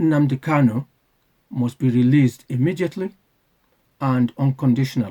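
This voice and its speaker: A man speaks at a moderate pace with a dark, mellow, somewhat breathy tone, ordinary pitch variation, and long, frequent pauses, recorded dry and close with no echo. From UK. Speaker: channel owner, political commentator. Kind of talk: prepared monologue, advocacy announcement. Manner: formal.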